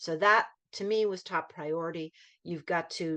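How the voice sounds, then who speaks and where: A woman speaks in a fairly low pitch with a bright, sharp tone. The background is quiet. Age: 60s. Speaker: volunteer English teacher. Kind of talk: online training presentation. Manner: hesitant, many fillers and restarts.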